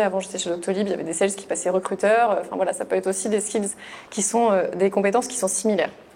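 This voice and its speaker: At a very fast pace, a woman talks in a monotone, flat intonation. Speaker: HR manager. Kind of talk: webinar presentation. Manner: hesitant, many fillers.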